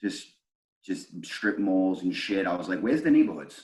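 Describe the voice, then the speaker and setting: With a New York accent, a man speaks at a moderate pace using ordinary pitch variation. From Brooklyn, New York. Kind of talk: casual interview answer. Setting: video call. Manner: casual, profane.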